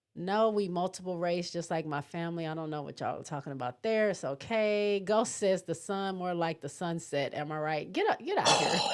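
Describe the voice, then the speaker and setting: A woman speaks at a fairly quick pace in a fairly low pitch, barely pausing. Her pitch varies in an ordinary way, and background noise is noticeable. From Michigan. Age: 30s. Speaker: sports livestream host. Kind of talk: casual chat.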